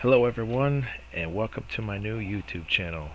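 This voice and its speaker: A man with fairly low pitch, ordinary pitch variation and a fairly quick pace, over noticeable background noise. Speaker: DIY home renovation vlogger. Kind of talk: casual vlog intro to camera. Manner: mumbling, not enunciating clearly.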